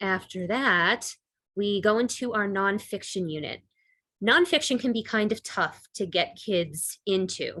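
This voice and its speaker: A woman talks in a plain, everyday voice, medium in pitch with ordinary pitch variation. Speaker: middle school English teacher. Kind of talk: presentation to parents on video call.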